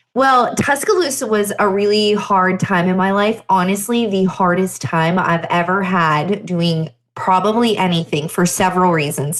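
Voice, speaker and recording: A woman with a slight Southern US accent speaks at a medium pitch and moderate pace with ordinary pitch variation, very even loudness and hardly any pauses. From Pennsylvania. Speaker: chiropractor and podcast host. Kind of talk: solo podcast storytelling. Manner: conversational.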